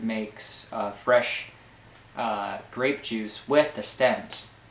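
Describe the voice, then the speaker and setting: A man speaks in a flat, monotone way, with noticeable background noise and audible room echo. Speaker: health vlogger documenting a cleanse program. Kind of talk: casual video diary. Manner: hesitant, many filler words.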